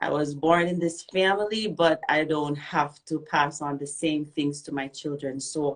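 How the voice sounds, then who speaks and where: A woman's very deep, low voice with a Jamaican accent, ordinary pitch variation and a fairly slow pace, against a quiet background. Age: young. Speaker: reggae singer. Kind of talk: interview. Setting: radio and Instagram live.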